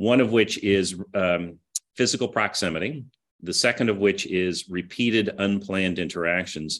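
A man with a Midwestern accent speaks in a fairly low pitch at a moderate pace. His pitch varies in an ordinary way, and the background is quiet. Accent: General American (Midwest). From US Midwest, Kansas City. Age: 50s. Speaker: business executive. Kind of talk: interview. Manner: halting, many fillers.

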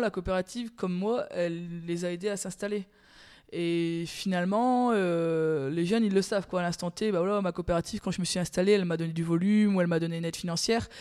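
A woman at a medium pitch, dark and mellow in tone, with fairly even intonation and a moderate pace. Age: 30s. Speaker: dairy farmer. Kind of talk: interview. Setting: on her farm.

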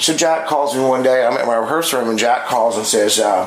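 A man speaks at medium pitch and a fairly quick pace with lively intonation. The recording has audible room echo and noticeable background noise. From moved around as a military child, US and abroad. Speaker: guitar amp builder and guitar demo player. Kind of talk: casual chat. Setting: guitar shop.

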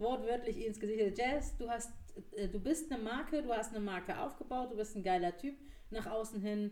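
A woman speaks at a moderate pace in a fairly high pitch. Her pitch variation is ordinary, and the room echo is audible. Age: 30s. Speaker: marketing manager. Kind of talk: casual chat.

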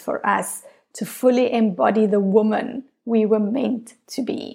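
This woman has an unremarkable speaking voice, fairly high in pitch. She speaks at a fairly slow pace with fairly even intonation. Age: 40s. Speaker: feminine embodiment coach, podcast host. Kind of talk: solo podcast monologue, self-help talk.

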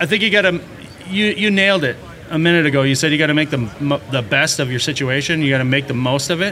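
A man with an American accent and a plain, everyday voice talks at a fairly quick pace, his fairly high pitch showing ordinary pitch variation. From Minnesota. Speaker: plumbing and heating contractor. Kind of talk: casual interview.

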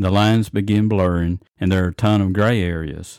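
A plain, everyday voice moves at a moderate pace with fairly even intonation, the sound dry and close with no echo. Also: man. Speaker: life coach sharing bullying experiences. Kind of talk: testimony, interview-style podcast.

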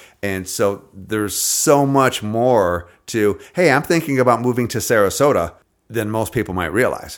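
A man with a normal speaking voice talks at a moderate pace and medium pitch, using lively intonation on a very clean recording with a silent background. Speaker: realtor and podcast host. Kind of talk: casual interview. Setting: podcast studio.

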